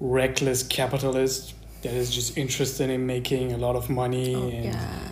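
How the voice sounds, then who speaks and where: A man talks at moderate speed, and audible room echo follows his words. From southern Germany, village (Iranian-born). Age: 20s. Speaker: business student. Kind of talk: casual chat.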